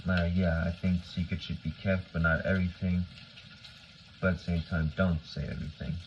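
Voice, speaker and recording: A man's very deep, low pitch, somewhat breathy, in a monotone, flat intonation. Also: fairly quick pace. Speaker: vlogger. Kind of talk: casual monologue. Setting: at home, kitchen. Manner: halting, many fillers.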